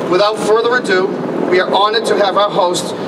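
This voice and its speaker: Noticeable background noise runs under a man talking at a fairly quick pace. His pitch is high and his intonation monotone and flat. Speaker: event host at podium. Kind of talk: ceremony announcement. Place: street. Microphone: podium.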